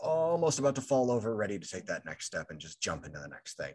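A man talks at a very fast pace with very wide pitch swings. His medium-pitched voice carries vocal fry. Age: 20s. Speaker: podcast host. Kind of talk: casual chat.

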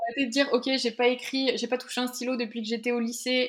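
A woman talks very fast in a high pitch with monotone, flat intonation. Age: 20s. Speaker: entrepreneur and photographer. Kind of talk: interview. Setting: office.

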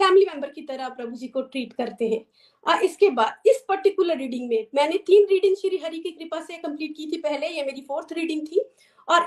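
A woman speaks at an extremely high pitch. Her intonation is lively and her pace moderate. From Himachal Pradesh, India (Chamba). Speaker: homemaker and devotee. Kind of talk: testimony. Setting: video call.

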